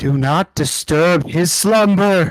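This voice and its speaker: A man does a put-on character voice pitched high. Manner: warning, solemn.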